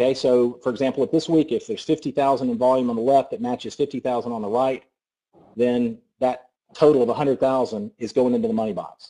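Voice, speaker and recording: In a Southern US accent, a man talks at a very fast pace with a medium pitch and ordinary pitch variation. His tone is dark and mellow. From US South. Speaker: network marketing presenter. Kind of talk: sales pitch. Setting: conference call. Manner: animated.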